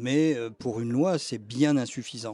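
The recording is very clean, with a silent background. A man with a dark, mellow tone speaks at a very slow pace, at medium pitch with ordinary variation. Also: dry, close sound with no echo. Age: 70s. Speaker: retired activist for end-of-life rights. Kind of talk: interview testimony. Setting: café.

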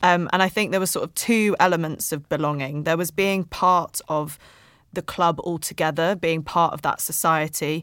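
At a moderate pace, a plain, everyday voice keeps fairly even intonation on a very clean recording with a silent background. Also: woman, fairly low pitch for a woman. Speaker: podcast host. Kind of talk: casual podcast chat. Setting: studio.

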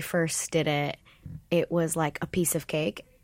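In a very clean recording with a silent background, a woman with an American accent talks at a fairly slow pace in a normal speaking voice that is fairly low in pitch. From Los Angeles, US. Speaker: stage actor. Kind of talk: casual interview chat.

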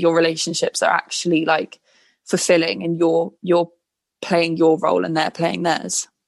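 A woman's fairly low voice with vocal fry, fairly even intonation, and a moderate pace, in a dry, close sound with no echo and a quiet background. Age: 20s. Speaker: blogger. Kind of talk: casual chat.

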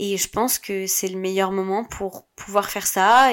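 The woman's voice sits at medium pitch. She speaks at a very slow pace. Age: 20s. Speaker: podcast host. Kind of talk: personal monologue. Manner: hesitant, with repetitions.

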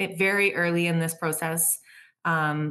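A woman speaks with a Canadian accent. Her intonation is monotone and flat. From Canada, Vancouver North Shore. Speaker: photographer and business owner. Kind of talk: casual chat.

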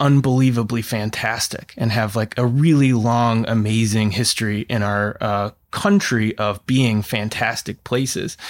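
A man with an American accent has a normal speaking voice at a medium pitch. He keeps a moderate pace with fairly even intonation. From Oregon, US. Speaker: college counselor and former admissions counselor. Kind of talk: casual chat.

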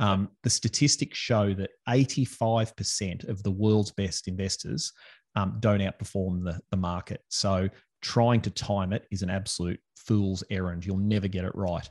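At a moderate pace, a man with an Australian accent speaks at a fairly low pitch. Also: ordinary pitch variation, quiet background. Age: 40s. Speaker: financial advisor. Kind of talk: casual interview chat.

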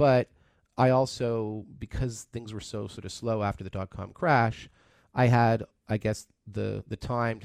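In a very clean recording with a silent background, a man with an unremarkable speaking voice talks at a moderate pace, his pitch fairly low with ordinary variation, the sound dry and close with no echo. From Canada (Toronto). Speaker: tech entrepreneur. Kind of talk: radio interview. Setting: studio.

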